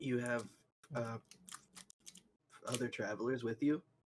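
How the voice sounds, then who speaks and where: In a raspy, put-on character voice, the speaker goes at a moderate pace. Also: man, medium pitch for a man. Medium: actual play.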